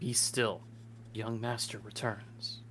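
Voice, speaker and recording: A put-on character voice over clear background noise. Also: man, medium pitch for a man. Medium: game stream. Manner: stiff, formal, deferential.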